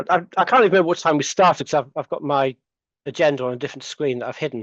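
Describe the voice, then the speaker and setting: With an English accent, a man talks at a very fast pace and a fairly high pitch. His pitch variation is ordinary, and the sound is dry and close with no echo. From England. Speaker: lecturer in computing, conference presenter. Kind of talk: conference Q&A answer. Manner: hesitant, many fillers and restarts.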